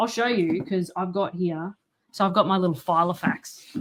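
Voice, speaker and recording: A woman with an Australian accent, medium pitch, ordinary pitch variation and a very fast pace. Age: 30s. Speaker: author. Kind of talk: casual chat.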